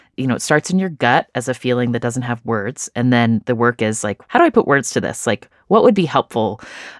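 In an American accent, a woman talks at a fairly quick pace with a very deep, low pitch. The recording is very clean with a silent background and a dry, close sound with no echo. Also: ordinary pitch variation. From United States. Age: 40s. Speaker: podcast host and author. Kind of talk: interview.

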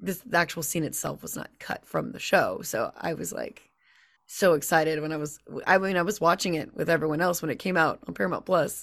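A fairly low-pitched woman's voice with vocal fry, ordinary pitch variation and a fairly quick pace, against a quiet background. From Louisiana. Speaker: voice actor. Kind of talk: casual chat. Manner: animated.

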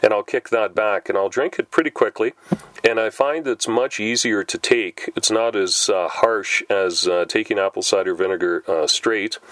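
A man speaks at a moderate pace in a relaxed tone. The sound is dry and close with no echo, though background noise is noticeable. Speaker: podcast host. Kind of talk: casual monologue. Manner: relaxed, with many filler words.

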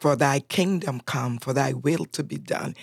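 On a very clean recording with a silent background and a dry, close sound with no echo, a woman speaks with a very deep, low pitch and vocal fry. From Honduras, Roatán island. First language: Spanish. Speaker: church prayer ministry leader. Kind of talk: casual chat. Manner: animated.

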